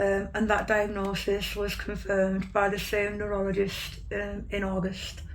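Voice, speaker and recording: A woman at a fairly slow pace with hardly any pauses, amid noticeable background noise and audible room echo. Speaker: patient sharing illness story. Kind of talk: interview testimony. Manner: hesitant, many fillers.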